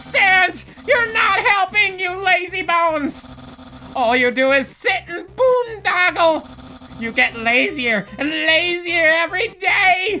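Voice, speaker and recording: Clear music plays in the background as a man does a put-on character voice at a fairly slow pace. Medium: dub. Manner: loud, shouty, theatrical.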